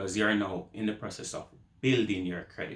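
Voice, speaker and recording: A somewhat breathy man's voice with a Jamaican accent. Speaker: YouTuber. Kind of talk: advice vlog. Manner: casual.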